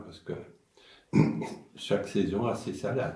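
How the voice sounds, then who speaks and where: A man speaks at a fairly slow pace in a dark, mellow tone that is somewhat breathy. The room echo is audible. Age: 80s+. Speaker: senior talking with children. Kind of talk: intergenerational conversation.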